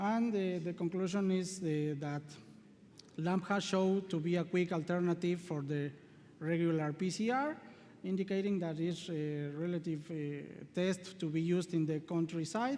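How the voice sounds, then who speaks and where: A man with a Spanish accent speaks at a moderate pace in a high pitch, with a dark, mellow tone and fairly even intonation. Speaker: veterinary researcher. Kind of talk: conference presentation and Q&A. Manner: halting.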